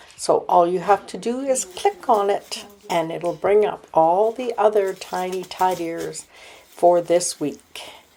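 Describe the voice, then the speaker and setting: Over noticeable background noise, the voice moves at a very slow pace with ordinary pitch variation. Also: woman, medium pitch for a woman. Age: 70s. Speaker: homemaking vlogger. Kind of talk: casual vlog narration. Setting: at home.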